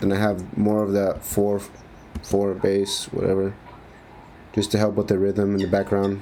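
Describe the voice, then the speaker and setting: A man's fairly low, monotone voice with flat intonation, very even loudness, a moderate pace and long, frequent pauses. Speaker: music producer. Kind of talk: tutorial. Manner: halting, stuttering; casual slangy.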